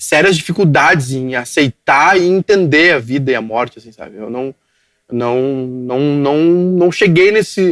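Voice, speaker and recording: Speaking at a fairly slow pace, a man with a southern Brazilian accent uses fairly high pitch, lively intonation and big swings in loudness. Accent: gaúcho Brazilian Portuguese. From southern Brazil, Rio Grande do Sul (Cachoeirinha). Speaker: digital media entrepreneur. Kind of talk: podcast interview. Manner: halting, repetitive.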